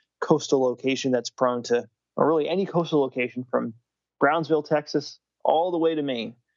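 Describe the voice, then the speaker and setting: This man has an ordinary speaking voice, moving at a fairly quick pace with fairly even intonation. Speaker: meteorologist. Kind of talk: casual chat.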